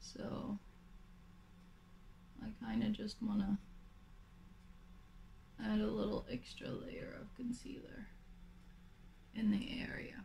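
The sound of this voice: A woman whispers slowly in a raspy voice with vocal fry, leaving long, frequent pauses amid audible room echo.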